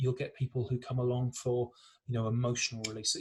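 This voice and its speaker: A man speaks at a medium pitch with an English accent. His voice is somewhat breathy and the pace fairly quick. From England. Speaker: breathwork teacher. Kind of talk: interview.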